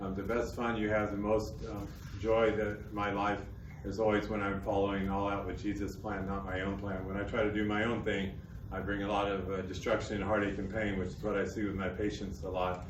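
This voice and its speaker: Amid noticeable background noise and audible room echo, a man with a Texan accent talks at a fairly quick pace in a fairly low, monotone voice with flat intonation. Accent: Texan American. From Texas. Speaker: missionary speaker. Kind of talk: talk to an audience. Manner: fast.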